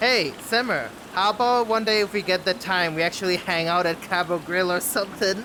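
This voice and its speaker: Over noticeable background noise, a man with a high pitch and a non-native accent speaks in a raised, projected voice at a fairly quick pace, with ordinary pitch variation and very even loudness. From Bangladesh. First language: not English. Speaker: streamer. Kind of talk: casual chat. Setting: live stream.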